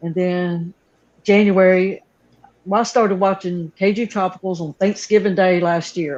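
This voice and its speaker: A woman's medium-pitched voice with a Southern accent, ordinary pitch variation and a moderate pace. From North Carolina. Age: 60s. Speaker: aquarium hobbyist YouTuber. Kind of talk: casual interview chat.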